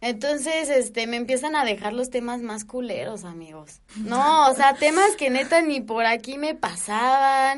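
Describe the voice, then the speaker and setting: Against a quiet background, a woman with a high pitch and lively intonation talks at a fairly slow pace, with hardly any pauses and big swings in loudness. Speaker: podcast co-host. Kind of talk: casual chat.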